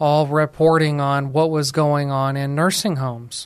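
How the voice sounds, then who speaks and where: Very slowly and in a monotone, flat intonation, a man with an American accent speaks at a fairly high pitch. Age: 40s. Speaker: elder law attorney and radio host. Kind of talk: recorded radio talk show monologue. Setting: recorded outside the studio.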